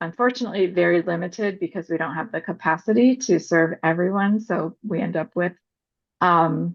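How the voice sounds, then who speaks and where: A woman's plain, everyday voice at a fairly low pitch, with ordinary pitch variation and a moderate pace. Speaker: parent advocacy organization presenter. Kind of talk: webinar presentation.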